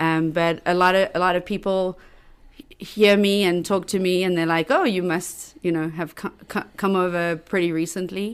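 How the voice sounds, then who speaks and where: The speaker has a strong South African accent and a monotone, flat intonation at a moderate pace. The recording is very clean with a silent background. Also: woman. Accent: South African, heavy. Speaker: local government worker. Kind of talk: casual chat. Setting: studio.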